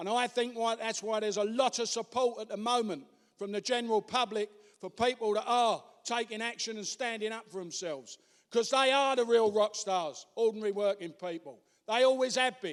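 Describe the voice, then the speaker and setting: At a fairly quick pace, a man speaks in a high, animated voice with ordinary pitch variation. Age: 60s. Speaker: trade union speaker. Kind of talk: conference speech.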